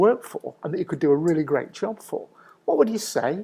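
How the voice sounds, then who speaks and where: The speech comes at a very fast pace. It carries a Mancunian accent. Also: man, very clean recording, silent background. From northern England, Manchester. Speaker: business consultant. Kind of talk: presentation talk.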